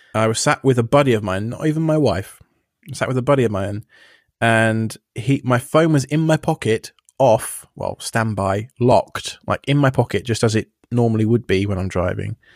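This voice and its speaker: A man with an English accent talks at a fairly quick pace and a medium pitch. His pitch varies in an ordinary way, and the sound is dry and close with no echo. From England. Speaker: self-hosting podcaster. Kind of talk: casual chat. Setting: remote call.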